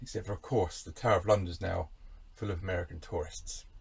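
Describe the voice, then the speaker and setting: A man with a British accent talks at a very fast pace. His voice is somewhat breathy. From England. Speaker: camper van DIY vlogger. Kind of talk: casual monologue. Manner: animated.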